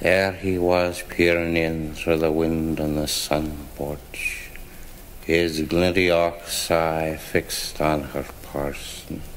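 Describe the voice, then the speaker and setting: A man speaks at a very slow pace in a very deep, low pitch with monotone, flat intonation. Noticeable background noise sits behind him. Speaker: author reading own work. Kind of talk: spoken-word fable reading. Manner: slurred, hard to follow.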